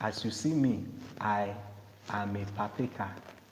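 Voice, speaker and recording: A man's fairly low voice at a very slow pace, with audible room echo. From Nigeria. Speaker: cryptocurrency promoter. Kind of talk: sales pitch.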